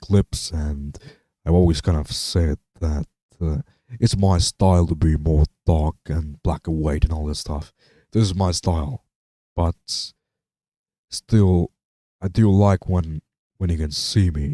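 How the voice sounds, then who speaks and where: In a non-native accent, a man speaks fairly slowly with long, frequent pauses, his very deep, low voice dark and mellow in tone with ordinary pitch variation, the sound dry and close with no echo. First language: not English. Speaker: live streamer. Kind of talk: casual live stream chat. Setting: home streaming setup, speakers on. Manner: halting, many fillers and repeats.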